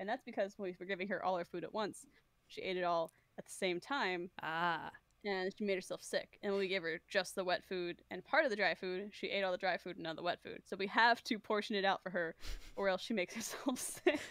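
A woman at a medium pitch speaks at a fairly quick pace with ordinary pitch variation, her voice dry and close with no echo in a very clean recording with a silent background. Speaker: streamer, co-host. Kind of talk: casual conversational.

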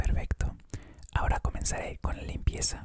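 Someone is speaking in a whisper. The pace is moderate. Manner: soft, calm ASMR dentist voice.

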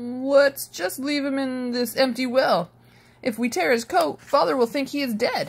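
A woman's put-on character voice, high-pitched and fairly slow, with vocal fry and ordinary pitch variation

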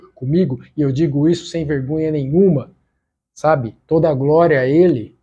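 A man's dark, mellow tone at a fairly slow pace, with fairly even intonation. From Brazil. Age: 40s. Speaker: YouTuber sharing faith experience. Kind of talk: testimony. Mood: earnest, heartfelt. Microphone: lapel.

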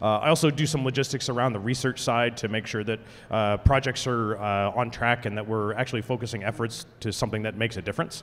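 A man speaks at a fairly quick pace with hardly any pauses. His intonation stays fairly even. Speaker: conference presenter. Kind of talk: conference talk introduction. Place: hall. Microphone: handheld.

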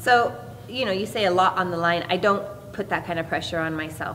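There is light background noise as a woman with fairly low pitch talks with ordinary pitch variation. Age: 40s. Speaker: professional MMA fighter. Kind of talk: media day interview. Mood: calm, upbeat. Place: hall.

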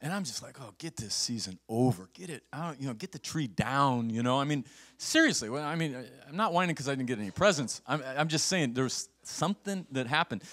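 A man at a fairly quick pace with big swings in loudness, against a quiet background. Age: 60s. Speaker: pastor. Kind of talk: sermon. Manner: animated. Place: church. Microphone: handheld.

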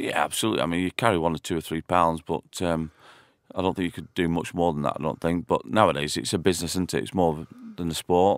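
Very deep and low, with vocal fry and ordinary pitch variation, a man's voice moves at a very fast pace. The recording is very clean and dry, close-sounding with no echo and a silent background. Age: 40s. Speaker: former footballer. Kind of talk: casual chat. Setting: studio.

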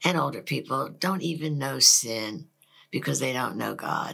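A woman with an American accent speaks at a fairly slow pace, her tone bright and sharp with some vocal fry. Her intonation is lively, and the background is quiet. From Philadelphia, Pennsylvania; Pennsylvania. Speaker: pastor's wife. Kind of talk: testimony. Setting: studio. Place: studio. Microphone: lapel.

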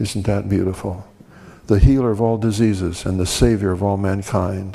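This man's tone is dark and mellow. He speaks at a moderate pace. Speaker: preacher. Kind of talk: sermon. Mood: reverent, rhetorical cadence. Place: church. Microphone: podium.

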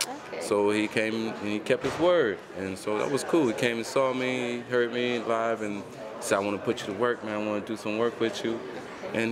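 Fairly quick speech from a man, fairly even in intonation, with noticeable background noise. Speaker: interviewee. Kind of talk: interview answer. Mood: relaxed, laughing. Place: home room.

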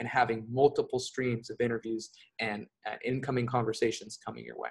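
A man speaks with an American accent at a fairly quick pace. His voice is somewhat breathy and his intonation is flat and monotone. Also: quiet background. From California. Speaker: remote job coach; interview guest, remote work coach. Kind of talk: interview. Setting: remote call from abroad. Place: home room. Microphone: earbuds.

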